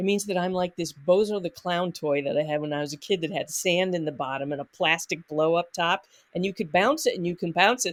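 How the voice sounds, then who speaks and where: A woman speaks at a fairly quick pace with hardly any pauses. Her pitch is fairly low, with ordinary variation. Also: dry, close sound with no echo. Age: 60s. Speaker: nonprofit conflict consultant. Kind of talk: podcast interview. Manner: halting.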